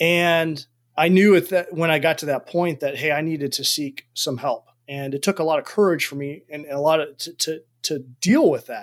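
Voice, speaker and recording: This man has an unremarkable speaking voice, fairly high in pitch, with an American accent, ordinary pitch variation, and a moderate pace. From United States. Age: 40s. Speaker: army officer and performance coach. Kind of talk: interview conversation.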